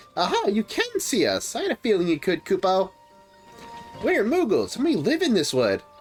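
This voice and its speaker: With clear music in the background, a put-on character voice at a fairly high pitch moves along at a moderate pace. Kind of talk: whimsical, ending lines in 'kupo'.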